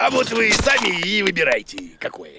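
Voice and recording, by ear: At a moderate pace, a man performs a cartoonish character voice pitched high, with very wide pitch swings, a bright, sharp tone, a slightly husky edge and vocal fry.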